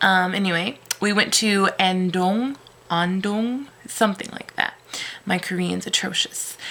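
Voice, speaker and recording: A woman's rather slow delivery comes with clearly audible background noise. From United States. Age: 20s. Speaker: English teacher, vlogger. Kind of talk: casual vlog monologue. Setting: at home, cat on lap. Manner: casual with frequent hesitations (um, uh).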